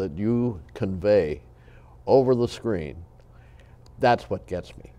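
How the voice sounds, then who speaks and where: A man's fairly low, dark, mellow voice, lively in intonation, with big swings in loudness and a very slow pace. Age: 80s+. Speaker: TV talk show host. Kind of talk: interview.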